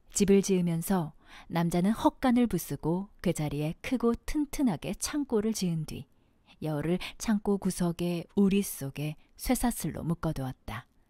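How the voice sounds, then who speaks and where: Recorded very cleanly against a silent background, with a dry, close sound and no echo, a woman speaks at a fairly slow pace in a fairly low pitch, her tone dark and mellow and her intonation lively. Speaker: aspiring voice actor. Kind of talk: audiobook fiction reading.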